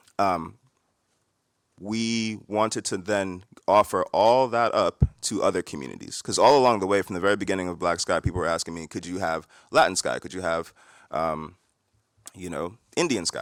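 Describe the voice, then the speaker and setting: On a very clean recording with a silent background and a dry, close sound with no echo, a man with a fairly low pitch speaks with long, frequent pauses and big swings in loudness. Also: ordinary pitch variation. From New York. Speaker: tech founder, panelist. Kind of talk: conference panel discussion. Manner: fast.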